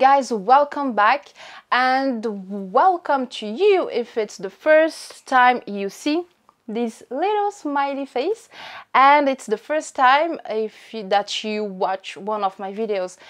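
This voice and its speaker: A woman speaks at a very slow pace with a high pitch. Her pitch swings very widely and her loudness swings a lot. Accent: French. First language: French. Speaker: fashion YouTuber. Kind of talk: unboxing vlog. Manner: animated.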